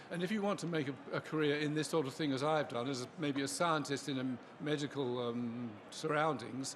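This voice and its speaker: Noticeable background noise accompanies a man with an English accent. His fairly high voice shows ordinary pitch variation. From England. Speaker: scientist. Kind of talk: interview.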